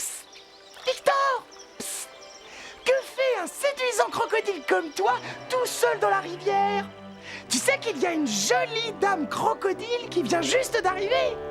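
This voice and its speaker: A cartoonish character voice speaks in a playful tone at a moderate pace, with long, frequent pauses. Clear music plays in the background. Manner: cheeky, playful.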